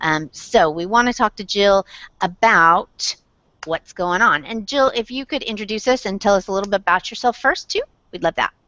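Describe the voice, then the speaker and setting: At a medium pitch and moderate pace, a woman speaks with a slight Southern accent and ordinary pitch variation. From Indiana, south side of Indianapolis. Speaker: blogger, web show host. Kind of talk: casual chat.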